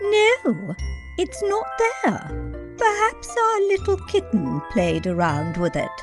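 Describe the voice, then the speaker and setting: Clear music plays in the background as a put-on character voice speaks at a very slow pace. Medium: read story. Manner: warm, chatty, encouraging.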